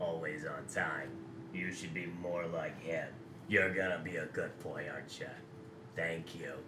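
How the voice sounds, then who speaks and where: A man puts on a character voice with a very deep, low pitch. He goes at a moderate pace over loud background noise. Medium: actual play. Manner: syrupy, teasing.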